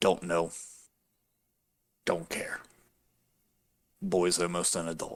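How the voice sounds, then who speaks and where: A man's raspy, put-on character voice with a very deep, low pitch, at a fairly slow pace with long, frequent pauses. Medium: actual play. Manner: curt, grunting, irritable.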